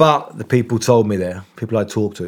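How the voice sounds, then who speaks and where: Talking at a moderate pace, a man with an English accent uses a fairly low pitch and ordinary pitch variation. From England. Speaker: investigative journalist. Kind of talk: interview. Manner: halting.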